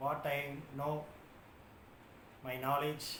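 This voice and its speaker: A man with a South Indian accent, fairly high-pitched, monotone and flat, at a very slow pace, with audible room echo. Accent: South Indian (Tamil) English. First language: Tamil. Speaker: YouTuber. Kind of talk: casual talk to camera. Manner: halting, many filler sounds.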